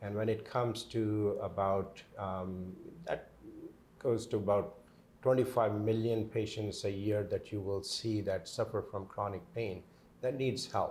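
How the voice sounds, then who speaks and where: A man with a Pakistani accent has a fairly low pitch and a somewhat breathy voice. His intonation stays fairly even. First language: Urdu. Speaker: pain management doctor. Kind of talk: interview. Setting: on location at his clinic. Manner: halting, many fillers.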